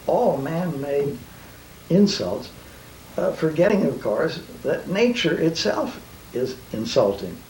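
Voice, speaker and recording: A man with a high pitch speaks in very wide pitch swings. Noticeable background noise and audible room echo fill the recording. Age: 70s. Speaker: nuclear physicist. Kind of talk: interview. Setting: living room. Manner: hesitant, with fillers and repetitions.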